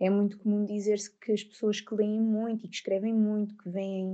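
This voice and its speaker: A woman speaks with a European Portuguese accent. Her pace is moderate and the background is quiet. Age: 20s. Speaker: psychologist. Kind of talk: interview.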